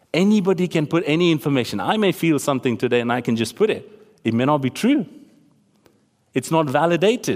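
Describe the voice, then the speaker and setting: With a Tamil accent, a man talks at a fairly quick pace in a fairly high pitch, his tone animated and his intonation lively. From Tamil-speaking region of South Asia. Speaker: preacher. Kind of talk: sermon. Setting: church. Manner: animated, conversational.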